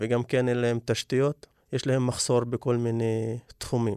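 A man with an Arabic accent speaks in a monotone, with flat intonation. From Negev Bedouin, Israel. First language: Arabic (speaking Hebrew). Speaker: community organizer. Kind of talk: interview.

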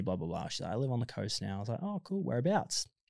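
This man has an Australian accent and a medium pitch. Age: 20s. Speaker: lifeguard. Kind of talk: casual chat.

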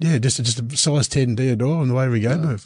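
Spoken at a very fast pace with an Australian accent, this voice is somewhat breathy and has ordinary pitch variation. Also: man. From Gippsland, Victoria, Australia. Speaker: fishing TV presenter. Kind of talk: casual chat.

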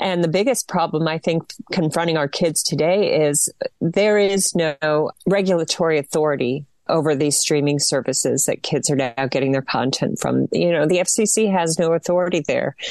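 The speaker talks at a moderate pace with ordinary pitch variation. Loudness stays very even in a plain, everyday voice. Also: woman, dry, close sound with no echo. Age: 40s. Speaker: media watchdog advocate. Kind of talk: radio interview.

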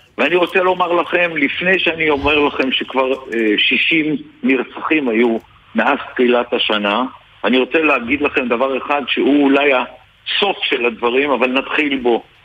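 A man talks at a fairly slow pace in a fairly high pitch, with ordinary pitch variation and very even loudness. Noticeable background noise is present. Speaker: politician and retired general. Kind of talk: radio interview.

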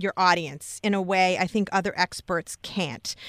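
A woman with a plain, everyday voice at medium pitch and moderate pace, in a very clean recording with a silent background and a dry, close sound with no echo. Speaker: radio host. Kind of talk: radio interview. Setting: radio studio.

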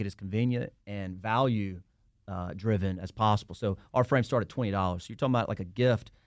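This man talks at a very fast pace with a Southern US accent. His pitch varies in an ordinary way. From Alabama, US South. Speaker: lawyer and entrepreneur. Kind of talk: casual interview.

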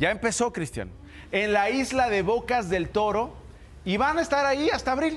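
A woman with a fairly high pitch talks at a fairly slow pace. Music plays in the background, and there is audible room echo. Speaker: radio news commentator. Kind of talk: opinionated news commentary. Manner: animated, joking.

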